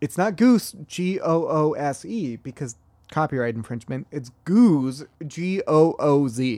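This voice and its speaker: Over a silent background on a very clean recording, a man talks at a fairly slow pace in a dark, mellow tone. His fairly high pitch makes very wide swings. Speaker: podcast co-host. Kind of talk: casual chat.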